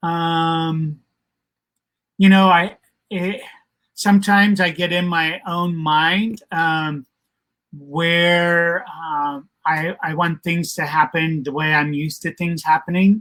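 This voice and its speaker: This man's voice sits high in pitch, moving at a very slow pace with fairly even intonation. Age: 60s. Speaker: retired expat channel co-host. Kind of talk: casual live stream chat. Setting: Facebook live stream. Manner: halting, many fillers.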